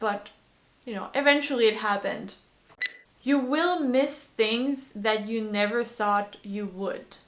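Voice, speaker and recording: A woman speaks at a fairly slow pace in a French accent. Her loudness swings widely. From France. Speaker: vlogger. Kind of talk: casual talk to camera. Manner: hesitant, many fillers.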